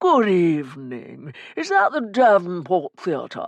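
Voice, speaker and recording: A woman at a medium pitch uses a put-on character voice and speaks at a fairly slow pace. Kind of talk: formal. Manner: grand, theatrical, polite.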